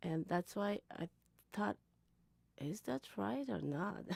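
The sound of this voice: With a dark, mellow tone and some vocal fry, a woman talks at a fairly slow pace and fairly low pitch, her intonation lively and the sound dry and close with no echo.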